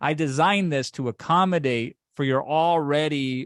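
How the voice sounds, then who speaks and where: The tone is animated, with ordinary pitch variation. The sound is dry and close, with no echo. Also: man. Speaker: online course creator. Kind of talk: webinar sales pitch. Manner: fast.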